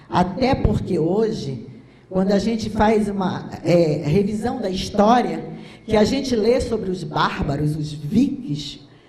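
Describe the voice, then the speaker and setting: A woman at a medium pitch talks at a very slow pace, her intonation lively. The room echo is audible, and there is noticeable background noise. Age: 60s. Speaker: physician and speaker. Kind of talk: lecture. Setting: stage with audience. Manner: animated.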